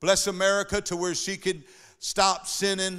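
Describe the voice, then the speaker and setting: The tone is bright and sharp. The recording is very clean, with a silent background. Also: man. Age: 60s. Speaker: pastor. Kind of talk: sermon. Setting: church. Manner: animated.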